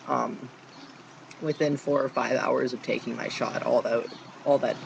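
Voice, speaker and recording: Noticeable background noise sits behind the speech. The man delivers his words at a fairly slow pace. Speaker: vlogger. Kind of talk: casual video diary. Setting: outdoors on back porch. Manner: halting, many fillers.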